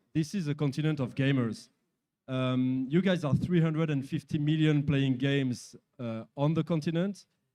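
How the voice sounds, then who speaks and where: In a French accent, a man talks with a fairly high pitch. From France. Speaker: company executive. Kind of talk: interview. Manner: halting.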